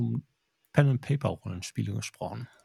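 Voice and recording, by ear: Dark and mellow in tone, a man's voice carries vocal fry and a slightly husky edge.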